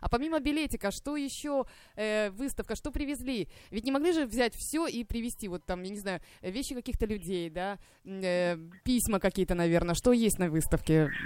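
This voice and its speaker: Her fairly high voice swings very widely in pitch as the woman talks at a moderate pace. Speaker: radio host. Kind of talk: live radio talk. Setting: radio studio.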